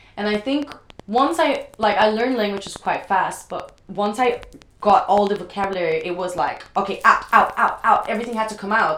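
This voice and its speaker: A woman speaks at a moderate pace and a fairly high pitch. Her ordinary pitch variation comes through noticeable background noise. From Brazil. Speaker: professional dancer. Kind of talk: casual chat. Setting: at home. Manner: loud.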